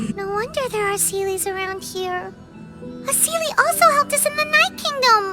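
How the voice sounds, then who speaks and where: With clear music in the background, a cartoonish character voice speaks at a moderate pace. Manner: chatty, curious.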